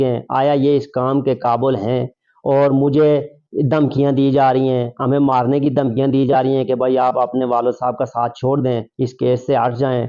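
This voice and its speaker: A man speaks at a medium pitch with a dark, mellow tone. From Pakistan, Abbottabad district (Circle Bakote). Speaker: local election candidate making a complaint. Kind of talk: press statement to media. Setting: media interview. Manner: formal.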